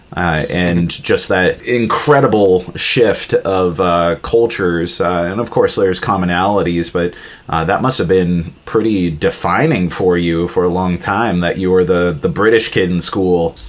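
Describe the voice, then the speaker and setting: A man talks at a fairly slow pace with hardly any pauses, in a very deep, low voice with ordinary pitch variation. Noticeable background noise runs under the recording. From Alaska, US, after childhood in India. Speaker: podcast host. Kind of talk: casual interview.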